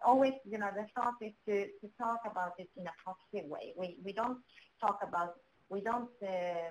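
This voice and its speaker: A woman speaks with a Swedish accent at a fairly high pitch. Her pitch varies in an ordinary way, and her loudness swings widely. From Sweden, Botkyrka. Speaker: municipal official. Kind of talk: webinar panel discussion. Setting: online webinar. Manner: halting.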